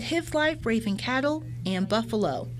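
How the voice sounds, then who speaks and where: Over noticeable background noise, a woman with an American accent speaks at a medium pitch with very wide pitch swings. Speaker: television reporter. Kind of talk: TV news reporting, stand-ups and packages.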